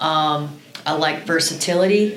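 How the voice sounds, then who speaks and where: A woman with a Midwestern American accent speaks at a fairly low pitch with fairly even intonation. Audible room echo and noticeable background noise surround her. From Iowa, Cedar Rapids. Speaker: college volleyball coach. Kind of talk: podcast interview.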